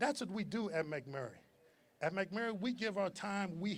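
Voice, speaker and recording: He speaks with an American accent. The voice is a man's. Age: 60s. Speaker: commencement speaker, alumnus, youth basketball coach. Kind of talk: commencement speech. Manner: halting, repeats words.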